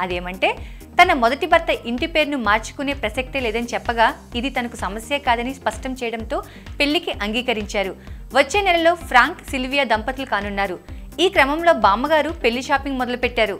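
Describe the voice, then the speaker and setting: Music plays in the background behind lively intonation. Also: woman, high pitch for a woman. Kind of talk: news bulletin narration.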